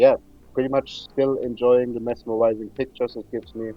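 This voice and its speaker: A man with a German accent, flat and monotone, over music in the background. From Germany. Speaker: gaming YouTuber. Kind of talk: casual gaming chat.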